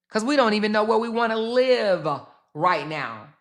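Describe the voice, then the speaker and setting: A woman with a bright, sharp, animated tone speaks at a fairly high pitch and a moderate pace, her pitch swinging very widely amid audible room echo. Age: 50s. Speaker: YouTube commentary host. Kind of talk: casual commentary livestream. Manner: loud.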